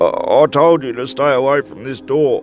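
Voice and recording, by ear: A man does a put-on character voice, growling and shaky at a fairly high pitch. He keeps a moderate pace over clear music in the background.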